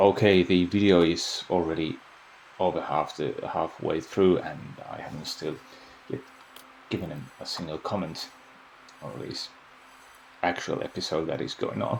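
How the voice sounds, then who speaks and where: Speaking at a moderate pace with a non-native accent, this voice has ordinary pitch variation, big swings in loudness and long, frequent pauses over noticeable background noise. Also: man, very deep, low pitch for a man. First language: Finnish. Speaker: video game YouTuber. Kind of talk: gameplay voice-over commentary. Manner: halting, many fillers and repeats.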